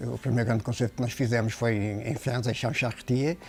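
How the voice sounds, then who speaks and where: The man here speaks at a fairly quick pace. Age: 60s. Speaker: luthier. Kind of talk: interview. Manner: hesitant with fillers and repetitions.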